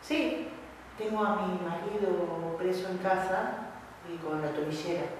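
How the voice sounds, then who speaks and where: A woman of medium pitch speaks at a very slow pace, with lively intonation and long, frequent pauses. The room echo is audible and there is noticeable background noise. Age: 50s. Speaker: medical secretary student. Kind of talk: class discussion. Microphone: poor audio quality.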